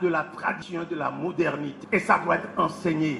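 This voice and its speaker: Over noticeable background noise, a man's high-pitched voice stays monotone, its intonation flat. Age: 70s. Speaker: professor. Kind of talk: public speech.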